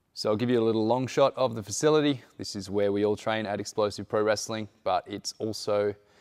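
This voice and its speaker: This man has a normal speaking voice, fairly low in pitch, with fairly even intonation at a moderate pace against a quiet background. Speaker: wrestling school trainer giving a tour. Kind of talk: casual walkthrough tour narration. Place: hall. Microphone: lapel.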